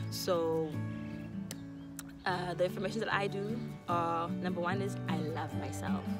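A woman's voice comes through a dry sound with no echo. Loud music plays in the background. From South Africa. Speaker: YouTuber. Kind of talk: casual talk to camera. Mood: warm, earnest. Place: garden. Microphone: phone near.

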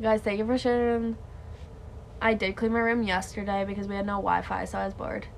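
Light background noise accompanies a woman speaking. She talks at a very fast pace with monotone, flat intonation. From Canada. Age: 20s. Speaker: live streamer. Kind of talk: casual chat. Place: home room. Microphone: phone near.

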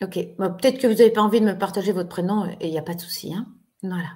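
A woman's somewhat breathy voice is heard against a quiet background. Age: 40s. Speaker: online therapist and trainer; trainer. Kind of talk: webinar lecture to an online audience. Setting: video call webinar. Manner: warm, friendly, conversational. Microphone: webcam.

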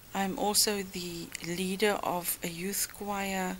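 The tone is bright and sharp and the intonation monotone and flat, with light background noise. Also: woman. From South Africa (Germiston, Gauteng). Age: 50s. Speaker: former teacher, church youth choir leader. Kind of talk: interview answer. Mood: reflective, recalling memories. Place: home room.

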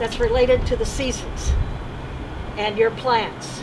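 Against noticeable background noise, a woman with a high voice speaks at a fairly slow pace with ordinary pitch variation. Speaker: workshop instructor. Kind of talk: lecture. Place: farm. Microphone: camera far.

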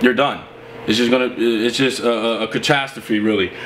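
There is light background noise as a man speaks. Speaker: contractor. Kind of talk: tutorial. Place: home room.

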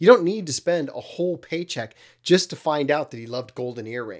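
Against a quiet background, the man's speech moves at a fairly quick pace. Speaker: vintage audio repair channel host. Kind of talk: tutorial commentary. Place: home room. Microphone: studio mic.

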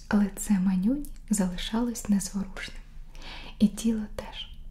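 The woman's speech moves at a fairly slow pace. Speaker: ASMR creator reading a story aloud. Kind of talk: bedtime story reading for sleep. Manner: whispered, soft, slow. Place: home room.

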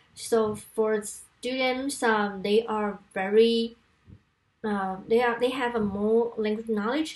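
A woman speaks very slowly in a fairly high pitch. Her intonation stays fairly even. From Taiwan. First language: Mandarin Chinese. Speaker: university language lecturer. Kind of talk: conference presentation. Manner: halting, frequent fillers. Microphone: webcam.

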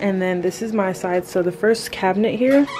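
A fairly slow pace with ordinary pitch variation and clear music in the background. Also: woman. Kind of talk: casual vlog chat. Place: home room. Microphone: phone near.

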